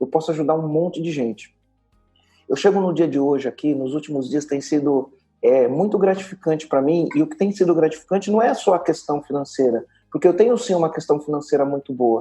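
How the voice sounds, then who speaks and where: Fairly quick in pace, a man speaks with a dark, mellow tone. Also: fairly high pitch for a man, ordinary pitch variation. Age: 40s. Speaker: entrepreneur and business mentor. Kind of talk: podcast interview. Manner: emphatic, repetitive.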